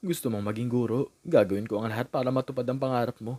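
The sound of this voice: Reading in an unforced voice.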